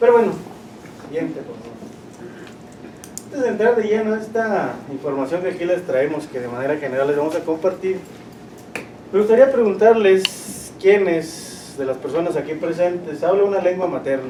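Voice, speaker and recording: Amid noticeable background noise and audible room echo, a man speaks at a high pitch with lively intonation, big swings in loudness, and long, frequent pauses. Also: moderate pace. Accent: Chihuahua. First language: Rarámuri (speaking Spanish). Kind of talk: presentation.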